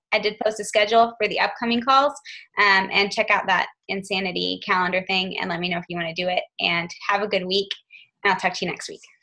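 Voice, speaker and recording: Very fast and bright, sharp in tone, a woman speaks with fairly even intonation. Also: medium pitch for a woman. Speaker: team leader hosting a group call. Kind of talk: team conference call.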